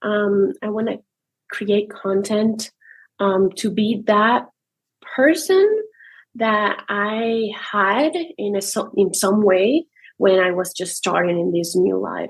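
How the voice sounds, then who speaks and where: Speaking very slowly with long, frequent pauses, a woman uses a medium pitch and ordinary pitch variation. She has a non-native accent. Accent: foreign. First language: not English. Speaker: new army wife, content creator. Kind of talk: podcast interview. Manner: halting, hesitant.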